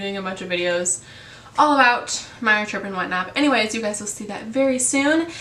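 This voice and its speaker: Audible room echo and noticeable background noise surround speech with lively intonation. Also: woman. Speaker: beauty vlogger. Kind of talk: casual tutorial talk. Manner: casual with many fillers.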